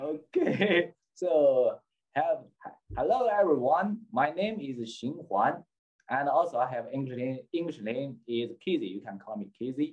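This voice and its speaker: A man with a Chinese accent and a fairly high pitch speaks at a fairly slow pace with lively intonation. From China. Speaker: bow importer and seller. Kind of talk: casual interview. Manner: halting.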